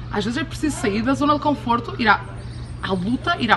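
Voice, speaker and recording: A woman speaks in an animated tone at a fairly quick pace, with noticeable background noise behind her. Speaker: podcast host, abundance coach. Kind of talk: motivational talk. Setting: outdoors, in Cuba.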